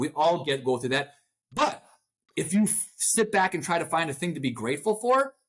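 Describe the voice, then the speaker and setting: Loud and animated, a man speaks at a fairly quick pace with very wide pitch swings. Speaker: motivational speaker and author. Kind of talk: interview. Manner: fast when excited.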